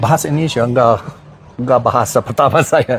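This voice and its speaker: With an English accent, a man talks at a moderate pace in a somewhat breathy, medium-pitched voice with ordinary pitch variation. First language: English (speaking Indonesian). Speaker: fitness coach. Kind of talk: live Q&A. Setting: Instagram live stream. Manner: halting.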